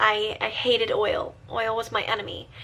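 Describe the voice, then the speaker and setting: A woman's very wide pitch swings amid noticeable background noise. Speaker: video blogger. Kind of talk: casual talk to camera.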